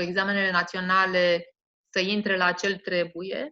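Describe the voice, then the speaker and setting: Monotone, flat intonation at a very slow pace. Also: woman. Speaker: school principal. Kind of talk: interview. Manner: hesitant, with fillers.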